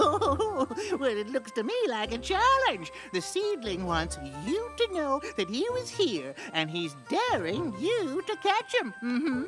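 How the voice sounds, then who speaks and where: A high-pitched, cartoonish character voice plays over clear music in the background. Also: fairly slow pace. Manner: folksy, drawling.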